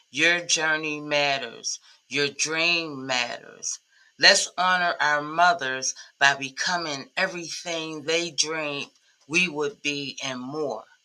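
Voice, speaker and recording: At a very slow pace, a woman talks with a very deep, low pitch and fairly even intonation. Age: 60s. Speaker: commercial cleaning business consultant. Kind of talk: motivational message to camera.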